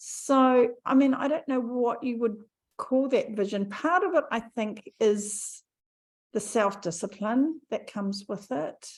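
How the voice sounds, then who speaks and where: On a very clean recording with a silent background, a woman with an ordinary speaking voice talks at a fairly high pitch with lively intonation. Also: fairly slow pace. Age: 60s. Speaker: podcast host, health coach. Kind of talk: casual chat.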